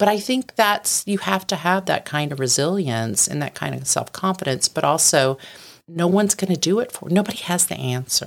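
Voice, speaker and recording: Vocal fry runs through speech at a moderate pace with lively intonation. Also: woman, fairly low pitch for a woman. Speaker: company founder and CEO. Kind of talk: casual interview. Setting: studio.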